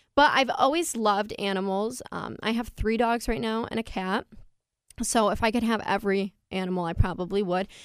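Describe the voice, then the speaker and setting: An unremarkable speaking voice from a woman with an American accent, fairly high in pitch, with ordinary pitch variation and a moderate pace. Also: very clean recording, silent background. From upstate New York, Fulton County. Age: 20s. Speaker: college student and pageant titleholder. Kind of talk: radio interview.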